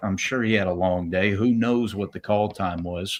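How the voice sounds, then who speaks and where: A man speaks with a Southern accent at a fairly slow pace. His pitch varies in an ordinary way. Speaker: professional wrestler. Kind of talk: casual chat. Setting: live stream.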